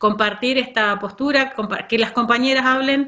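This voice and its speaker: Fairly slow speech from a woman, her pitch varying in an ordinary way. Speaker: school supervisor. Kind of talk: workshop talk.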